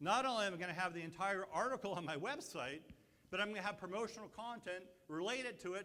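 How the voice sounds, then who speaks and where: An animated voice is raised and projected, with lively intonation. It moves at a fairly quick pace, with audible room echo. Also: man. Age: 60s. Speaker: marketing speaker. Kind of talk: conference presentation.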